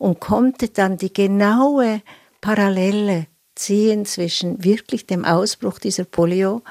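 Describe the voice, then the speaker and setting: In a dry, close recording with a silent background and no echo, a woman speaks fairly slowly at medium pitch in a dark, mellow tone with ordinary pitch variation. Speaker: psychoanalyst. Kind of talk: interview excerpt.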